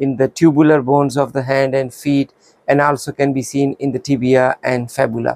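Over a quiet background, a man speaks in a monotone, flat intonation, the sound dry with no echo. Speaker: radiology teacher. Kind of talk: lecture. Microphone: lapel.

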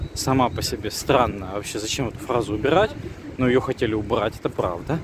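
Over noticeable background noise, a man talks at a moderate pace with a dry sound and no echo. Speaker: civic activist video blogger. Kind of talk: video commentary. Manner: hesitant with fillers. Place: street. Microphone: phone near.

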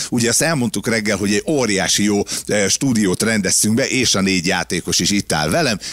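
A man with a normal speaking voice talks at a fairly quick pace, his pitch fairly low and ordinarily varied, his loudness very even, and the sound dry with no echo. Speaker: radio co-host. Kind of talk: casual chat. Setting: studio. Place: studio. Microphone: studio mic.

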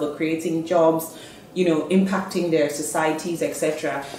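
A woman with a fairly low pitch speaks at a moderate pace. The room echo is audible, and there is light background noise. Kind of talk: interview answer. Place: office.

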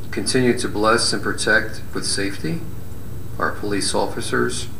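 Amid light background noise and audible room echo, a man with a fairly low pitch speaks at a moderate pace. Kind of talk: prayer. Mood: solemn, reverent. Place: hall.

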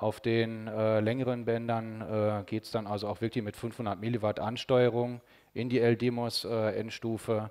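A man talks at a fairly slow pace with a fairly low pitch. His intonation stays monotone and flat against a quiet background. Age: 40s. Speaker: radio engineer and ham radio amateur; conference presenter. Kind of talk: conference talk. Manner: hesitant, many filler sounds. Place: hall. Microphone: podium.

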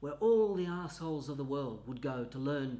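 At a moderate pace, a man speaks in a dark, mellow, somewhat breathy tone with ordinary pitch variation. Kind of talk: comedic monologue.

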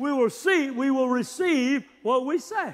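The voice has a fairly bright tone and lively intonation. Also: man.

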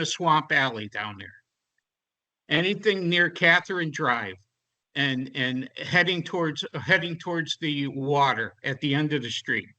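A man with an American accent speaks at a fairly slow pace in a fairly high pitch with lively intonation. His tone is bright and sharp against a quiet background. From Connecticut shoreline, New England. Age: 70s. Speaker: town resident speaking at public meeting. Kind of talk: heated debate. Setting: town board meeting. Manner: animated.

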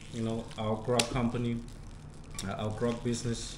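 A man talks at a fairly quick pace as noticeable background noise carries on. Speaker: vlogger presenting a sponsor product. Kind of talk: casual vlog sponsor talk. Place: home room. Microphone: camera far.

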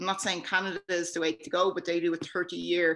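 A woman with an Irish accent speaks in a fairly low pitch and a flat, monotone intonation. The background is quiet. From Ireland. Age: 30s. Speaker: cannabis patient advocate; guest. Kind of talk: casual chat. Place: home room. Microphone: video call.

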